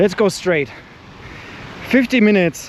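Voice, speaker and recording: A man talks at a moderate pace with a non-native accent and ordinary pitch variation. Noticeable background noise runs underneath. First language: not English. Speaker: running vlogger. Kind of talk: vlog monologue while running. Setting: outdoors, running. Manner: animated.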